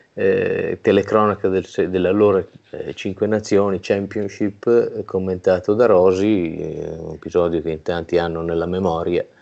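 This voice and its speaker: Moderately paced speech from a man, the background quiet. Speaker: regional rugby federation president and winemaker. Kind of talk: interview. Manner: hesitant, many fillers. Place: home room. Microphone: earbuds.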